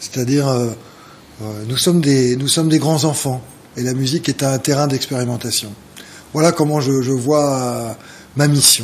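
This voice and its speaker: Medium-pitched male speech at a moderate pace, fairly even in intonation, with long, frequent pauses and noticeable background noise. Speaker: jazz organist. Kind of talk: TV interview. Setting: TV studio. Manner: halting, many hesitations.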